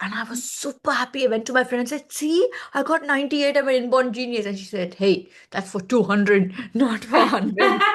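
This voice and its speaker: A woman talks at a fairly quick pace with a Telugu accent. Her high-pitched voice has lively intonation and an animated tone. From India, Chennai. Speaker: space education partnerships head. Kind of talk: interview conversation.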